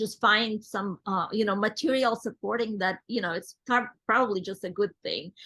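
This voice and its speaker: With a non-native accent, a woman speaks at a moderate pace in a fairly high pitch, her tone bright and sharp and her intonation fairly even. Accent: foreign. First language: not English. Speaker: network marketing executive. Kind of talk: interview. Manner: halting.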